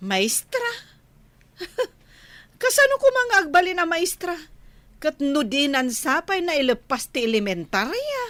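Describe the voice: A woman does a put-on character voice, high in pitch and fairly bright in tone, with very wide pitch swings. She goes at a fairly slow pace with long, frequent pauses.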